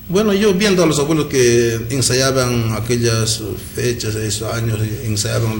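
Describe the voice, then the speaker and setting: Audible room echo plus noticeable background noise. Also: man. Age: 60s. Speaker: traditional musician. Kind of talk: radio interview.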